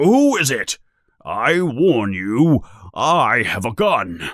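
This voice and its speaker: Putting on a character voice, a man speaks very slowly in a raspy, fairly high voice. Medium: read story.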